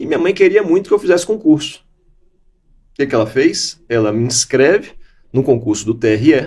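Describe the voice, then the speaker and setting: Somewhat breathy and fairly high in pitch, a man talks at a fairly quick pace with very wide pitch swings and long, frequent pauses. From Bahia, Salvador. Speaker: law professor and jurist. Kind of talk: interview. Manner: conversational.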